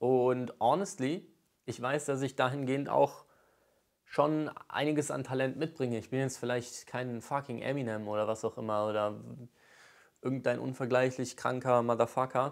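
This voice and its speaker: In a quiet background, a man speaks at a moderate pace with a medium pitch and fairly even intonation. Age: 20s. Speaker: YouTuber and aspiring rapper; YouTuber. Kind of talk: vlog monologue rant. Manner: casual, hesitant with many fillers. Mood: earnest, determined. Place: home room. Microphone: lapel.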